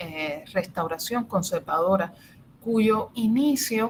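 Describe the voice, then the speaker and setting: This woman talks at a very slow pace in a fairly high, somewhat breathy voice with lively intonation. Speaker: professor. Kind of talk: lecture. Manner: animated.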